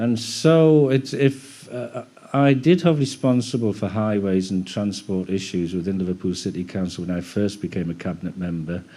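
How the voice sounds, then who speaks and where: An ordinary speaking voice moves at a moderate pace with lively intonation and hardly any pauses. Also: man, fairly low pitch for a man. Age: 60s. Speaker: local politician. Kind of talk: panel discussion remarks. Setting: public seminar at a museum.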